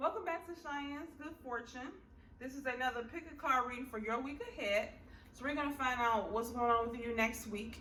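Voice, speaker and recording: A woman's raised, projected voice, high-pitched with ordinary pitch variation and a fairly quick pace, amid noticeable background noise and audible room echo. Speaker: tarot reader. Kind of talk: pick-a-card tarot reading.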